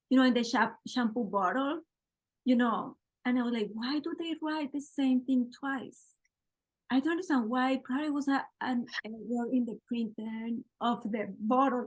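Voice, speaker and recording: Here a woman speaks with a strong non-native accent. Her voice is high-pitched. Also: ordinary pitch variation, moderate pace. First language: Spanish. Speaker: podcast host, interviewer. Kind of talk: casual interview chat.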